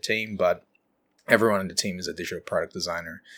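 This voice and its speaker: A man speaks with a Brazilian accent on a very clean recording with a silent background. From Brazil, São Paulo state countryside. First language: Portuguese. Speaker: design leader. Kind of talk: interview.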